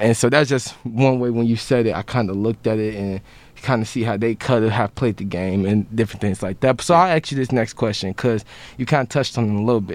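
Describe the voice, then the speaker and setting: A man with an American accent talks at a very fast pace, keeping a medium pitch and ordinary pitch variation. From Chicago. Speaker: student podcast host. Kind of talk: interview.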